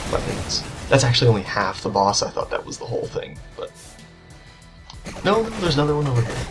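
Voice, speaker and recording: Music can be heard behind the speaker. He is a man talking at a fairly quick pace. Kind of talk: gameplay commentary. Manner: quiet, subdued.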